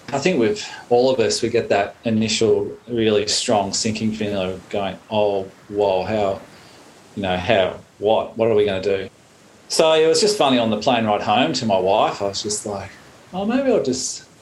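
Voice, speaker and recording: A man's fairly low voice with an Australian accent, at a moderate pace. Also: ordinary pitch variation. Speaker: surfer and climate activist. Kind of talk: casual group discussion.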